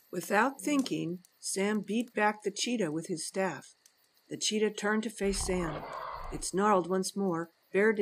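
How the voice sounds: A natural reading voice, pitch shifting in an ordinary way.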